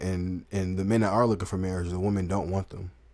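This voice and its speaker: A man with a Southern US accent and a very deep, low pitch. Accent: Southern country. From US South. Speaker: dating commentary channel host. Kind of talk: live stream commentary.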